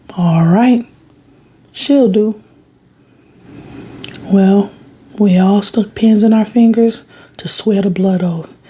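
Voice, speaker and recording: Speech comes at a very slow pace against noticeable background noise. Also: long, frequent pauses. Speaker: ASMR creator. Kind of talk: bedtime story reading. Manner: expressive voice inflections.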